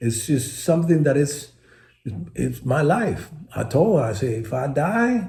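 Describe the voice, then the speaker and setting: A man's fairly high voice with a dark, mellow tone and vocal fry, fairly slow, with very wide pitch swings and audible room echo. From Puerto Rico. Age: 70s. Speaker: retired baseball player. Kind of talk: interview. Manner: animated.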